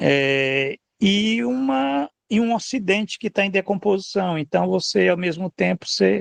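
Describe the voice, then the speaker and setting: In a dry, close sound with no echo, a man with a high voice talks fairly slowly with lively intonation. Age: 60s. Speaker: political commentator. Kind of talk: casual chat. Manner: animated; halting.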